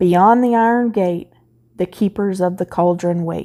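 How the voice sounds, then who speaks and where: A woman booms out a put-on character voice in a medium pitch, at a moderate pace and with fairly even intonation. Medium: read story. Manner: booming, commanding.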